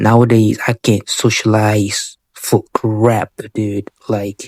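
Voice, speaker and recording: A very slow, monotone, flat delivery from a man with a non-native accent, fairly low in pitch, in a dry, close sound with no echo. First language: not English. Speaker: vlogger. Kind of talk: casual monologue. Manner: halting, many fillers.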